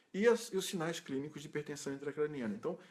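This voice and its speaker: A man's voice with ordinary pitch variation. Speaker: ICU nurse educator. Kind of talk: recorded tutorial talk. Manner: fast; halting, with repetitions.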